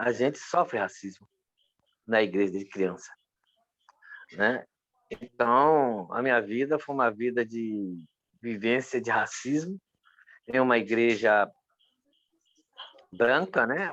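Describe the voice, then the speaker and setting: Using a medium pitch and lively intonation, a man speaks at a very slow pace with long, frequent pauses. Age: 60s. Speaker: pastor. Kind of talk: interview testimony.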